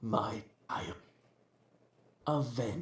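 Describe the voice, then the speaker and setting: The speaker uses a put-on character voice pitched low. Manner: feminine.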